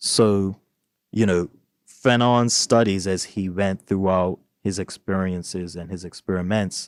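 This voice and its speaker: A man with a Bermudian accent speaks at a fairly slow pace in a very deep, low voice with fairly even intonation, recorded dry and close with no echo, very cleanly, over a silent background. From Bermuda. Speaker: book club host. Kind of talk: discussion podcast.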